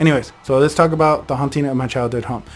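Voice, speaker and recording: A man talking at a very fast pace with fairly even intonation. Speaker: storyteller channel host. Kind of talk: casual storytelling. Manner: occasional stutter.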